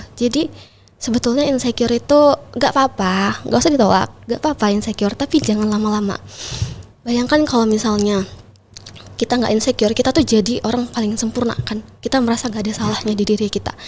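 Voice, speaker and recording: A woman with a fairly high pitch and ordinary pitch variation talks at a very fast pace amid noticeable background noise. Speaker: pageant titleholder and MC. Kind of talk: podcast interview.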